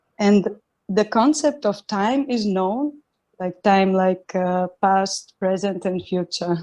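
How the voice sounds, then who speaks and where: A woman's medium-pitched voice with a non-native accent, ordinary pitch variation and a very slow pace, over a quiet background. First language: not English. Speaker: satsang participant asking a question. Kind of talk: reading a written question aloud. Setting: video call. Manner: halting, many fillers.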